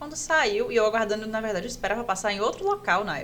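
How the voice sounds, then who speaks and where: A woman speaks at a fairly quick pace. Audible room echo is present. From Pará, northern Brazil. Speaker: orthopedic resident doctor. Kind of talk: casual podcast interview, personal story.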